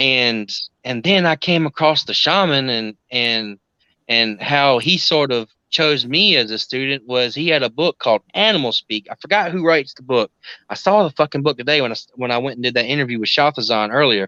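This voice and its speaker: A man with a South Carolina accent speaks at a moderate pace and a medium pitch, with a bright, sharp tone and lively intonation. The quiet background gives a dry, close sound with no echo. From US South, South Carolina. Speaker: occult practitioner. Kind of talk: casual chat.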